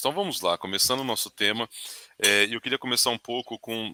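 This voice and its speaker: This voice has a bright, sharp tone, moving at a fairly quick pace with ordinary pitch variation. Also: man, dry, close sound with no echo. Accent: rural Brazilian. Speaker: webinar host. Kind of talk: webinar panel discussion.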